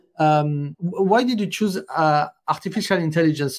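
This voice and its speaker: Pitch moves in an ordinary way as the speaker talks with a French accent. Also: man. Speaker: interview host. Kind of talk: online interview. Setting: video call. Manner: halting, many fillers.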